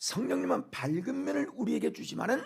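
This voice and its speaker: This man talks at a moderate pace. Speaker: pastor. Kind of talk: sermon. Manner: animated.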